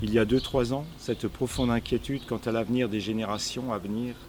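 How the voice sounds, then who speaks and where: A man speaks in a normal speaking voice at medium pitch. His intonation stays fairly even and his pace is moderate. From France, Alsace. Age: 60s. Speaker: climate activist, retiree. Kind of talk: personal statement to camera.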